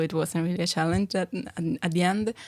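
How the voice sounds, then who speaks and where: A woman with an Italian accent talks at a moderate pace in a fairly low pitch, her intonation fairly even, on a very clean recording with a silent background. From Italy. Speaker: adult education student. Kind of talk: casual chat.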